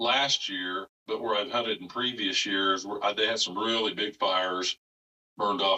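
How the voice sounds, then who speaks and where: A man speaks in a plain, everyday voice at a moderate pace. His pitch is fairly low and his intonation fairly even. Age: 60s. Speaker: retired upland bird hunter. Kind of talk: podcast interview answer. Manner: casual, conversational.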